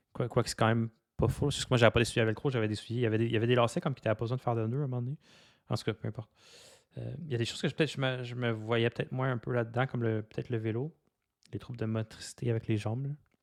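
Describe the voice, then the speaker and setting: Delivered at a very fast pace with a Quebec accent and fairly even intonation, the speech comes through in a very clean recording with a silent background. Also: man, medium pitch for a man, dry, close sound with no echo. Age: 30s. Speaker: podcaster. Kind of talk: personal monologue. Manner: halting, many fillers and repetitions; unscripted, raw and direct.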